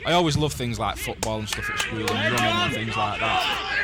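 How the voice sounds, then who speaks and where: Music plays behind a man who talks at a moderate speed. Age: 19. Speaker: young amateur wrestler and philosophy student. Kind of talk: interview answer.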